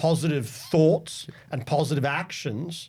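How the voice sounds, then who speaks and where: With a Scottish accent, a man speaks at a fairly slow pace and a fairly high pitch. His voice is somewhat breathy, with ordinary pitch variation. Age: 40s. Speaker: sales leader. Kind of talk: interview.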